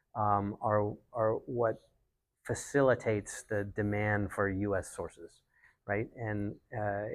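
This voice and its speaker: The speech moves at a very slow pace in a monotone, flat intonation, on a very clean recording with a silent background. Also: man, fairly low pitch for a man. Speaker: climate tech banker. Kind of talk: panel discussion. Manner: soft-spoken; halting.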